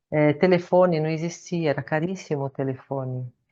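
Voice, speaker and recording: Here is a woman with an unremarkable speaking voice at a fairly slow pace. Her pitch variation is ordinary, and the background is quiet. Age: 60s. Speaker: Buddhist nun and meditation teacher. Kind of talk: lecture.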